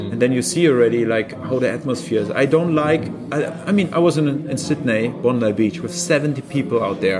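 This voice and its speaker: Music plays in the background while a man talks at a moderate pace. His pitch varies in an ordinary way, and room echo is audible. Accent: German. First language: German. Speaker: surf coach. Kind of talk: casual interview. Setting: on location in Portugal.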